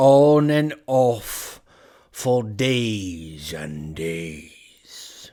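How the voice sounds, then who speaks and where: A man's put-on character voice at a medium pitch, on a very clean recording with a silent background. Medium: read story. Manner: deadpan.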